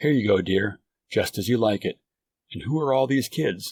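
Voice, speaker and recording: A man puts on a raspy, put-on character voice at a medium pitch. He keeps a moderate pace and ordinary pitch variation. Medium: read story. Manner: wry, weary.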